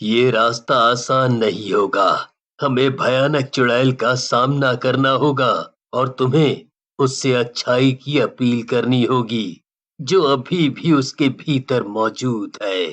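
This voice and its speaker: A man puts on a cartoonish character voice at medium pitch. He speaks at a very slow pace. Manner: sorrowful, grave.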